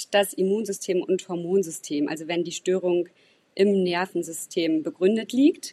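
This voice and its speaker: Recorded dry and close with no echo against a quiet background, this is an ordinary speaking voice with ordinary pitch variation. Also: woman. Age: 30s. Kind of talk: podcast interview.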